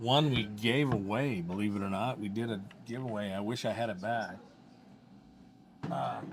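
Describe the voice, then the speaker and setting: Amid audible room echo and noticeable background noise, a man with a fairly low pitch talks at a moderate pace, leaving long, frequent pauses. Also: ordinary pitch variation. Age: 60s. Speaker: podcast host. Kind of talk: interview. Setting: coffee shop.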